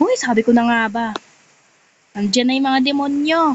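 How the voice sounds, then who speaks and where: A woman's high voice with ordinary pitch variation, over noticeable background noise. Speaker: gaming vlogger. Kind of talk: gameplay commentary. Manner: soft-spoken.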